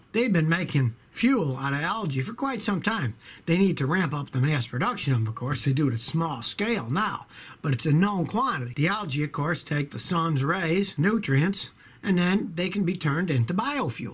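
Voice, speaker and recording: The pace is moderate. Pitch swings are very wide. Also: man. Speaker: auto mechanic commentator. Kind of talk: casual vlog commentary. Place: home room. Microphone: webcam.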